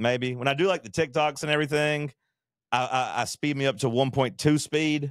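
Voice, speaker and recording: A man talks at a fairly quick pace with fairly even intonation and a fairly high pitch. His loudness stays very even on a very clean recording with a silent background. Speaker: podcast host. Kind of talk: casual chat. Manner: fast.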